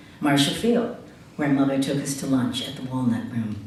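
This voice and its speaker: With an American accent, a woman talks at a moderate pace amid noticeable background noise and audible room echo. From Chicago, US Midwest. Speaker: writer and essayist. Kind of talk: reading aloud own essay.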